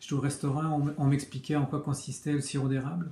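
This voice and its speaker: A man's fairly high-pitched, somewhat breathy voice with monotone, flat intonation. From Quebec. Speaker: comic book author. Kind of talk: interview answers. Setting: video recording. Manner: hesitant, many fillers.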